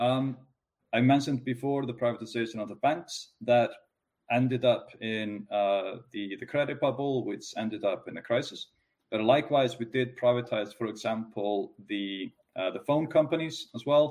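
A man with an Icelandic accent speaks at a medium pitch and a moderate pace. His loudness swings widely. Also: ordinary pitch variation. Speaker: economist. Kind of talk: interview.

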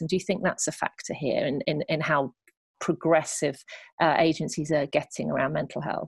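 In a British accent, a woman speaks at a fairly quick pace and a fairly low pitch, with ordinary pitch variation. The sound is dry and close with no echo, over a quiet background. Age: 40s. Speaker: podcast host and editor. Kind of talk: interview. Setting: remote call.

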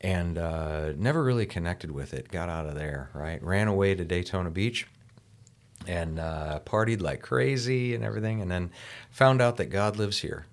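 With an American accent, a man with a very deep, low voice speaks at a moderate pace using lively intonation. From US, rural farming village. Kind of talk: casual chat. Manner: animated.

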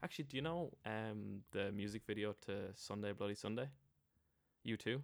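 A man with an Irish accent speaks at a moderate pace in a fairly low voice, his pitch rising and falling in an ordinary way. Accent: Irish, Wexford. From Ireland (Wexford). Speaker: guest living in US. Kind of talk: casual chat. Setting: drinking beer in a pub.

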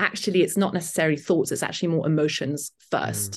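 A woman with a British accent, fairly even intonation and a quiet background. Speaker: author and journalist. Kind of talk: casual interview.

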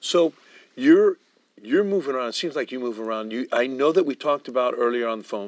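Recorded dry and close with no echo, a man has a normal speaking voice at medium pitch with ordinary pitch variation. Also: fairly quick pace. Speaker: TV show host. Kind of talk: interview, casual chat.

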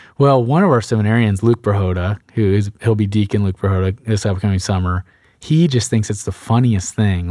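Recorded very cleanly with a silent background and a dry, close sound with no echo, a man speaks at a fairly low pitch with a dark, mellow tone and ordinary pitch variation. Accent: American. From Texas, Sugar Land near Houston. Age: 20s. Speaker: transitional deacon. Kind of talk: casual interview.

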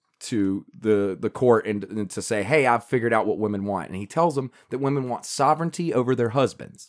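Lively in intonation and animated in tone, a man with a Southern US accent talks at a fairly quick pace in a medium pitch. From US South, Carolina. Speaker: podcast co-host. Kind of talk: casual chat.

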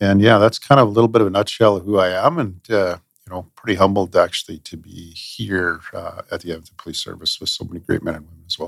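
A man with a western Canadian accent talks at a fairly low pitch and a very fast pace. He leaves hardly any pauses, and his loudness swings widely. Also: ordinary pitch variation. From Manitoba and Alberta, Canada. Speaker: police chief. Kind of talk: interview.

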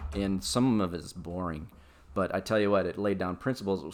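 In an American accent, a man speaks at a moderate pace with a very deep, low pitch and fairly even intonation. The recording is very clean, with a silent background. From US Midwest (Des Moines, Iowa). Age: 50s. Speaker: father of the host. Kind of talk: casual chat.

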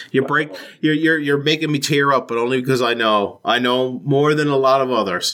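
His strong Newfoundland accent comes through as the man speaks at a fairly quick pace. The tone is bright and sharp, with ordinary pitch variation and very even loudness. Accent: Newfoundland accent, thick. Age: 30s. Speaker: podcast host. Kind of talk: interview. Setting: home basement.

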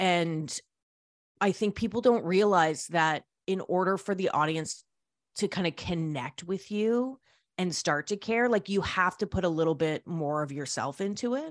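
With a Canadian accent, a woman uses a normal speaking voice at a medium pitch, with lively intonation and a moderate pace, on a very clean recording with a silent background. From Canada. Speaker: radio host and record label founder. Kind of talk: interview.

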